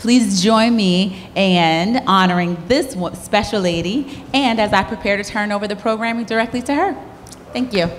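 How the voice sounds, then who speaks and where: Against light background noise, a woman talks at a moderate pace with ordinary pitch variation. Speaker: corporate sponsor representative. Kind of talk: prepared opening remarks. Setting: stage with audience. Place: hall. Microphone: handheld.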